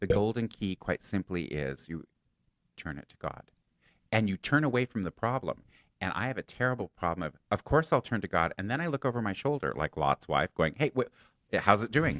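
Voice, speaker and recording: Using vocal fry, a man with a fairly low pitch moves at a moderate pace with very wide pitch swings and big swings in loudness, in a dry, close sound with no echo. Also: quiet background. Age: 60s. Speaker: psychic and stand-up comedian. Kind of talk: casual chat.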